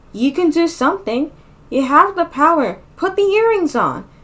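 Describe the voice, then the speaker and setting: In a put-on character voice, a woman speaks at a moderate pace in a calm tone, squeaky and extremely high in pitch. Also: lively intonation. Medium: read story. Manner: calm, encouraging.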